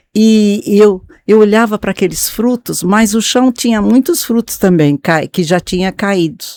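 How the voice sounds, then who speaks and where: Speaking at a fairly slow pace with hardly any pauses, a woman uses a medium pitch, ordinary pitch variation and a dark, mellow tone, recorded very cleanly with a silent background and a dry, close sound free of echo. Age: 70s. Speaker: pastor's wife. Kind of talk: testimony. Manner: halting.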